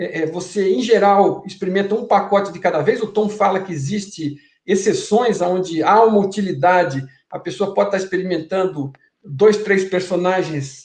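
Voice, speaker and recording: A man speaks at a moderate pace in a high voice. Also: ordinary pitch variation. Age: 60s. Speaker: guest explaining a spiritual theory. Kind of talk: interview conversation.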